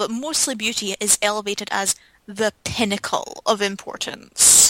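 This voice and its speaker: An unremarkable speaking voice with fairly even intonation, heard in a dry, close recording with no echo. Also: woman. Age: 20s. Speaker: podcast co-host. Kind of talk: casual chat.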